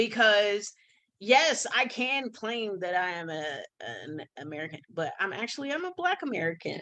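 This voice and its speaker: A woman with an animated, bright and sharp tone speaks at a moderate pace and a fairly high pitch, her voice making very wide pitch swings and big swings in loudness. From United States. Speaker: podcast co-host. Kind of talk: casual chat.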